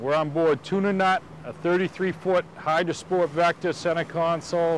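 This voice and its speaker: The man's voice is high in pitch. The sound is dry with no echo, with light background noise. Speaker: fishing show host. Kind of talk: show host intro to camera. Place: boat.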